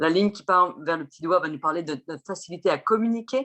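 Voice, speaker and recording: This woman has a plain, everyday voice, pitched fairly low, with ordinary pitch variation and a fairly quick pace. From France. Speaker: chirologist and Vedic astrologer. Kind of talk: interview explanation.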